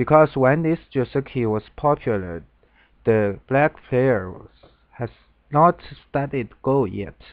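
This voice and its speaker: Speaking with a Chinese accent, a man at medium pitch uses lively intonation and big swings in loudness. He talks at a very slow pace with long, frequent pauses. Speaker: Go game commentator. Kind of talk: lecture. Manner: halting.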